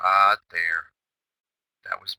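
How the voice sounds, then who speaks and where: A man speaks in a calm tone, the sound dry and close with no echo. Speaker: day trading chatroom host. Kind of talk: trading recap. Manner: animated.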